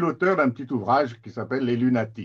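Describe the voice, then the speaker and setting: A man's voice at a medium pitch. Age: 60s. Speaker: mental health advocate, recovered patient. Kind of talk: webinar presentation. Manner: halting.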